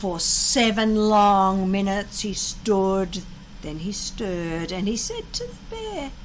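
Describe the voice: Speaking slowly, a woman uses lively intonation. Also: medium pitch for a woman.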